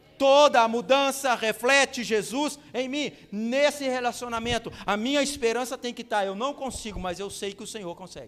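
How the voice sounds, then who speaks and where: Extremely high-pitched, a man speaks at a moderate pace with hardly any pauses and ordinary pitch variation. His loudness swings widely. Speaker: pastor. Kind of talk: sermon.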